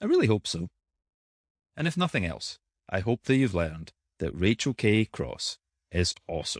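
Lively intonation from a man with an unremarkable speaking voice, at a moderate pace and medium pitch. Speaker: podcast host. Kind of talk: scripted podcast intro and outro.

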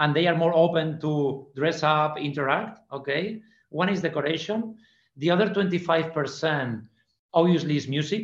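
Speaking with a Spanish accent, this person keeps to a fairly slow pace. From Spain (Fraga, Aragon). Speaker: party promoter. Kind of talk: interview. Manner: halting, repeats words.

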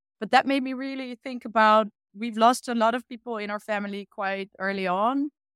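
Speaking with a Dutch accent, a woman has a fairly high pitch and ordinary pitch variation at a moderate pace. The recording is very clean, with a silent background and a dry, close sound with no echo. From eastern Netherlands, rural Achterhoek. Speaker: illustrator and art educator. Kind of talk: casual interview chat.

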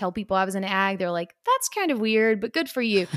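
A woman with a Kentucky accent at medium pitch, in a dry, close sound with no echo. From rural Kentucky. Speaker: agriculture professional and podcast host. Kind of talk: interview conversation.

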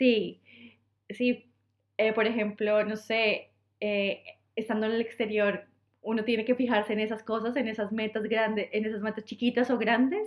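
A woman speaks in a Colombian accent at a fairly high pitch. Her pace is moderate, and her intonation monotone and flat. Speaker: podcast co-host. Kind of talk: casual chat. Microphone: poor recording quality.

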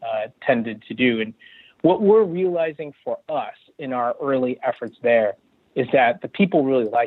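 Speaking with an American accent, a man uses lively intonation at a moderate pace. He has a fairly high pitch and an ordinary speaking voice. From US West Coast, California. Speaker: tech executive. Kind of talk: interview. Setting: phone call.

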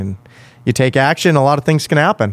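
A man speaking at a very fast pace, with ordinary pitch variation and a dry, close sound with no echo. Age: 30s. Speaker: podcast host, entrepreneur. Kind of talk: casual interview. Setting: studio.

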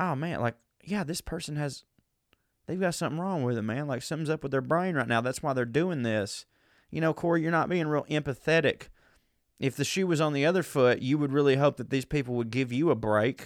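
A man with a Southern US accent talks at a fairly quick pace. His fairly high voice shows ordinary pitch variation. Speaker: comedian. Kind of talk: casual chat. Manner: animated.

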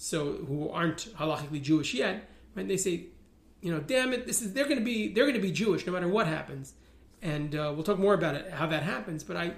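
With audible room echo, a man with an American accent speaks at a fairly quick pace, his high pitch carried by lively intonation. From New York (Riverdale). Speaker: rabbi and religious activist. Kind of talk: interview.

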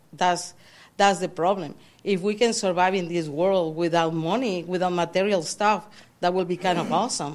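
An ordinary speaking voice from a woman, medium in pitch, with fairly even intonation at a moderate pace. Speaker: audience member. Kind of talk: casual conversation. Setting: church.

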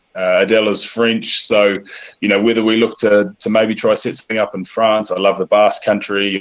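A man is speaking. He has a New Zealand accent. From New Zealand (Northland, near Whangarei). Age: 30s. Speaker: professional rugby player and café owner. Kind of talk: interview. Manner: halting, with repeated words and fillers.

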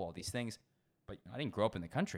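With lively intonation and a fairly low pitch, a man speaks in a plain, everyday voice on a very clean recording with a silent background. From US, Washington DC. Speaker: sommelier. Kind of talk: casual chat.

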